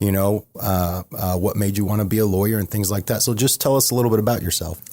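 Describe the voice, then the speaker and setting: At a very fast pace, a man with an American accent speaks at a fairly low pitch in a dark, mellow tone with very even loudness on a very clean recording with a silent background. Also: fairly even intonation. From Florida. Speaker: podcast host and lawyer. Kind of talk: casual interview. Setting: studio.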